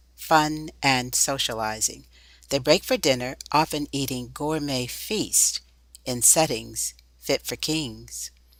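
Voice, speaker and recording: At a fairly slow pace, a woman speaks in a very deep, low voice with vocal fry. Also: very clean recording, silent background. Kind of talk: documentary narration.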